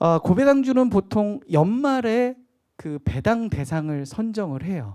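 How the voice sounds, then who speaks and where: Here a man with a slight Jeolla accent speaks at a fairly slow pace in a dark, mellow tone with very wide pitch swings. The recording is very clean, with a silent background. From Jeolla Province, Korea. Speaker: stock investment lecturer. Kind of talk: lecture.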